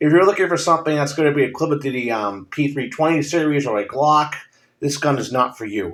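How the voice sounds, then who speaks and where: A man's fairly high voice, with ordinary pitch variation, comes through a very clean recording with a silent background. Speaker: firearms reviewer. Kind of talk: casual product review. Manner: hesitant, many filler ums.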